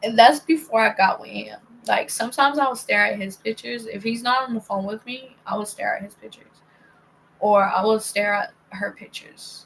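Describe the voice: A woman's medium-pitched voice with vocal fry, a slightly husky edge, fairly bright tone, ordinary pitch variation and a moderate pace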